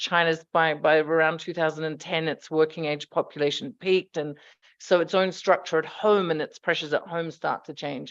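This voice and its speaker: A woman with an Australian accent at a fairly low pitch and fairly quick pace, with fairly even intonation against a quiet background. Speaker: economics researcher. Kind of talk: conference presentation.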